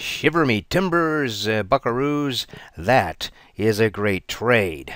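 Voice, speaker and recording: Putting on a character voice, a man speaks at a fairly slow pace in a medium pitch. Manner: playful, exaggerated.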